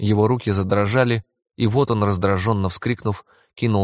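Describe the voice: Someone does plain reading aloud with fairly even intonation. The background is quiet.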